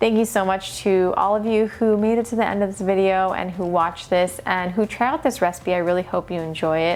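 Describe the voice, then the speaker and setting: Over noticeable background noise, a woman talks at a fairly quick pace with hardly any pauses, her medium pitch showing ordinary variation. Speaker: vegan cooking youtuber. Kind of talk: casual cooking tutorial. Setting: sitting on office floor at home.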